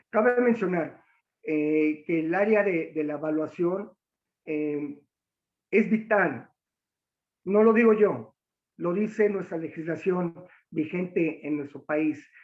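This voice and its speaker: Speaking at a very slow pace with long, frequent pauses, a man uses a high pitch with ordinary pitch variation. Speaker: military officer and lecturer. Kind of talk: lecture. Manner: halting, many fillers.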